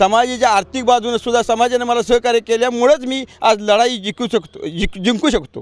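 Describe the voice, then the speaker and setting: Extremely high in pitch, a man's voice comes through dry and close with no echo. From Maharashtra, Patan taluka (Satara). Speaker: election candidate. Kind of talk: interview.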